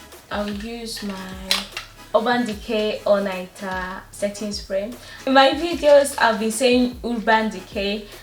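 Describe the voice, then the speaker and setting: A woman speaking at a very slow pace, her loudness swinging widely, with audible room echo and music in the background. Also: fairly high pitch for a woman, ordinary pitch variation. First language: not English. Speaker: beauty vlogger. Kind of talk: makeup tutorial. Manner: casual, hesitant with fillers.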